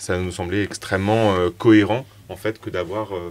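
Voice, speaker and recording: In a very clean recording with a silent background, a man with a very deep, low pitch speaks at a fairly slow pace in a monotone, flat intonation. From France, Strasbourg. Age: 30s. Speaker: startup co-founder, chemical engineer. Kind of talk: interview conversation. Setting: in person at guest's place. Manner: hesitant, many filler sounds.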